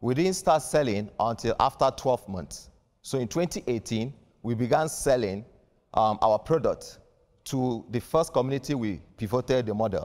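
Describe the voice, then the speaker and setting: Against a quiet background, a man speaks at a moderate pace. His intonation is lively. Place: studio. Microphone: lapel.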